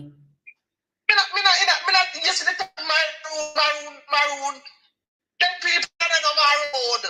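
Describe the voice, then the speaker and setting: Speaking at a fairly slow pace with a Jamaican accent, the voice comes over music in the background. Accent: Jamaican Patois-inflected. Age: 50s. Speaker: caller. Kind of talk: phone-in call. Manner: agitated.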